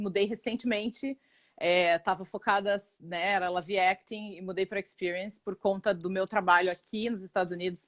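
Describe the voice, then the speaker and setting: With a Paraná accent, a woman talks at a moderate pace and medium pitch in a very clean, dry, close recording with a silent background and no echo. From Brazil, Paraná. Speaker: actress and acting instructor. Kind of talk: casual chat.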